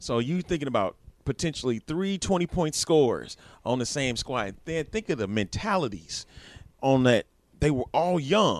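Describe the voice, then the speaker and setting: Speaking at a moderate pace, a man uses a fairly high voice whose pitch swings very widely. The sound is dry and close, with no echo. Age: 30s. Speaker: sports podcast co-host. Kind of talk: casual chat.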